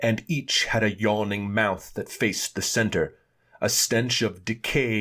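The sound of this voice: The voice reads in an unforced way.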